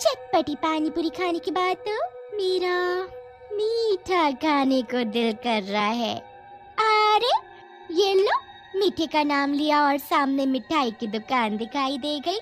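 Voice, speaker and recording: Over clear background noise, a woman uses a put-on character voice, pitched high and delivered at a fairly slow pace. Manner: menacing, scolding.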